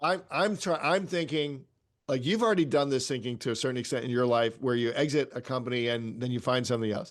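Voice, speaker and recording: Speaking very fast with an animated tone, a man keeps a medium pitch and ordinary pitch variation against a quiet background. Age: 60s. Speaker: attorney and legal marketing coach. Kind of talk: podcast interview.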